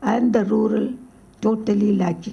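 A woman's dark, mellow voice with vocal fry and ordinary pitch variation. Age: 80s+. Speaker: psychiatrist, mental health foundation founder. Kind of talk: award acceptance speech. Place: hall. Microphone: podium.

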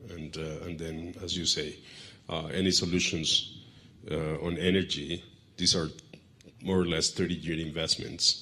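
This man speaks fairly slowly in a very deep, low pitch, with flat, monotone intonation and long, frequent pauses. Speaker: panel moderator, head of a trade research center; panel moderator. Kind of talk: panel discussion moderation. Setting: stage with audience. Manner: halting, many fillers. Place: hall. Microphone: handheld.

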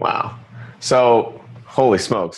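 Against a quiet background, a man speaks in an excited, energetic tone. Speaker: podcast host. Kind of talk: casual interview. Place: studio.

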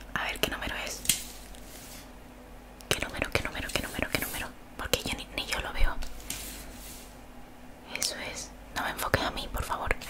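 At a fairly quick pace, a woman speaks in a whisper. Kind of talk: ASMR role-play. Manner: soft close-mic ASMR murmur. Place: home room. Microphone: studio mic.

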